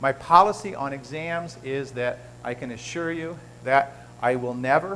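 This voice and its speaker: A man is speaking. His voice sits at medium pitch. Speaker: biochemistry professor. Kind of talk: lecture. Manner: fast.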